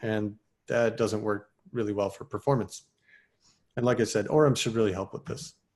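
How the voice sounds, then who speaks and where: A man at medium pitch and a fairly quick pace, against a quiet background. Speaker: software developer presenting at a meetup. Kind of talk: technical talk. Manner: fast.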